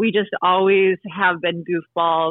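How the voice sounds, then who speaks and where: A woman's medium-pitched, moderately paced voice with an American accent, an ordinary speaking voice. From US West Coast (Oregon/California). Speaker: singer, actor and YouTube comedian. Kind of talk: interview. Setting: phone call.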